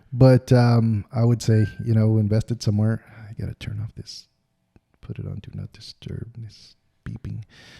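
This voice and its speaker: A man with an American accent, a dark, mellow tone and a somewhat breathy voice at a moderate pace, monotone and flat, with big swings in loudness and a dry, close sound with no echo. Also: medium pitch for a man. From United States. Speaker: podcast co-host. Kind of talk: casual chat.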